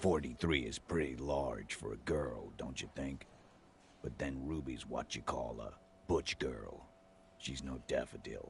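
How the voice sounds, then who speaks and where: A put-on character voice from a man, very deep and low, at a fairly slow pace over clear background noise. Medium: video game. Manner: blunt, skeptical.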